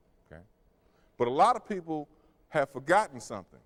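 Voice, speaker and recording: This speaker's pitch swings very widely, with an American accent. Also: man. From US South, Memphis Tennessee. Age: 40s. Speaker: human resources executive, public speaker. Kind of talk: lecture.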